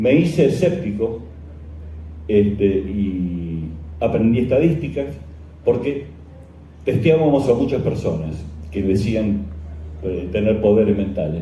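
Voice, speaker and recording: Pausing long and often, a man speaks at a fairly slow pace with very wide pitch swings, in audible room echo with noticeable background noise. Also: fairly low pitch for a man. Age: 60s. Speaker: journalist and skeptic lecturer. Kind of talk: conference lecture. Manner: halting, many fillers.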